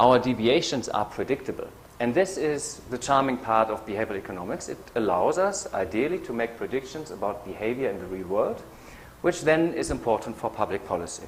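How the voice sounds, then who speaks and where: A man's medium-pitched voice with a German accent, fairly quick, with very wide pitch swings over noticeable background noise. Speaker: behavioral economist. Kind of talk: lecture. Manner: hesitant with many fillers. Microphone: echo from PA, volume adjusted.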